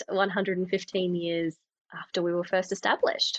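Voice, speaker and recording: With an Australian accent, the speaker talks at a moderate pace in a dry, close sound with no echo. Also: woman. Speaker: communications manager, former TV reporter. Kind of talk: podcast interview. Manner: conversational with fillers.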